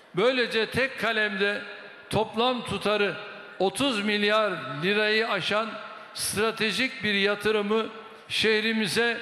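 A man's raised, projected voice at a very slow pace, with fairly even intonation and audible room echo. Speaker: politician giving a speech. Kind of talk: political speech. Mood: combative toward opposition.

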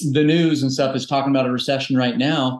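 A man at a medium pitch, with audible room echo and a quiet background. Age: 40s. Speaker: health coach, entrepreneur. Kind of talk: podcast interview. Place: home room. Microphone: video call.

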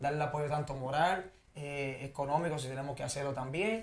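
A man talks at a fairly quick pace. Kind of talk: interview answer. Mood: warm, grateful, promotional. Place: studio. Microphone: lapel.

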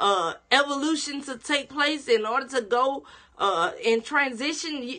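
A woman's high-pitched, raised, projected voice at a fairly slow pace, with very wide pitch swings and faint music in the background. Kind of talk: sermon-style teaching broadcast. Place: home room. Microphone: phone near.

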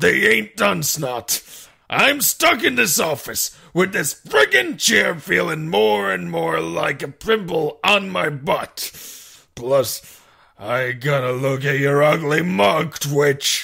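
Raspy and fairly high, a man's voice moves very slowly through very wide pitch swings. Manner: angry, griping, coarse.

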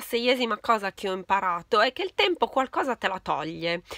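The tone is bright and sharp, delivered at a moderate pace. The sound is dry with no echo, over a quiet background. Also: woman. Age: 40s. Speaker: beauty YouTuber. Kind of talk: casual chat. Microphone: phone near.

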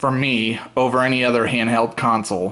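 The man's delivery is fairly slow. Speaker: gamer showing a modded console. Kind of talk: casual demo commentary. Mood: enthusiastic, relaxed. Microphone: phone near.

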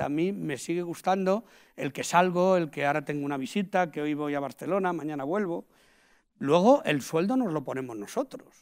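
A man talks fairly quickly with lively intonation and a fairly high pitch. Behind him, the background stays quiet. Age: 50s. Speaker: invited sales expert. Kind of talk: talk interview before an audience. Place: hall. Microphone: lapel.

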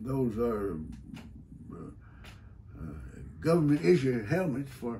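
A man speaks at a fairly slow pace in a dark, mellow tone, somewhat breathy, with very wide pitch swings and light background noise. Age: 80s+. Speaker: WWII veteran, retired judge. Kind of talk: interview answer. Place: office. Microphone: camera far.

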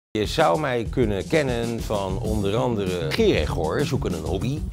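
Clear music sounds behind a man whose fairly low voice makes very wide pitch swings at a moderate pace. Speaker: voice actor. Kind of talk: interview answer. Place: studio.

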